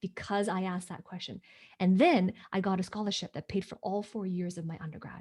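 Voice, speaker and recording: The delivery is fairly quick and somewhat breathy, with fairly even intonation. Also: woman. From Hong Kong. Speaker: business coach. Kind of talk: interview. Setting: livestream video call.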